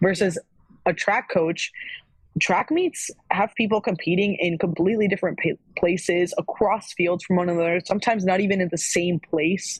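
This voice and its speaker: A woman with an American accent speaks at a moderate pace in a somewhat breathy voice of medium pitch. Her intonation is fairly even, her loudness very even, and the sound dry and close with no echo. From Florida. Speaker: former college athlete. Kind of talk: casual chat.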